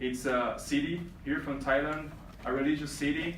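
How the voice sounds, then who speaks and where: Audible room echo and noticeable background noise surround a man whose voice is fairly high. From Brazil. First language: Portuguese. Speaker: reigning male pageant titleholder. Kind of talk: speech to pageant contestants. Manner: halting, many fillers.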